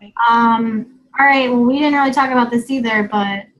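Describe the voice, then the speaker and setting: Music plays in the background as a woman with an American accent and a high pitch talks at a moderate pace. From Gainesville, Florida. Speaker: team leader. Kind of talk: video call hosting. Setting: video call. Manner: animated.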